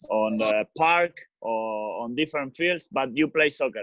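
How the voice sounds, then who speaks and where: A man with an Argentine accent speaks at a very slow pace. His pitch sits in the medium range but swings very widely. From Argentina, Rosario. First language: Spanish. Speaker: professional footballer. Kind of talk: casual talk to kids. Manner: halting.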